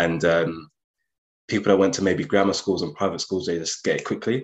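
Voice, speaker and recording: In a London accent, a man talks with a fairly low pitch. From North London, Enfield. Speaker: investment banker. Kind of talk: interview.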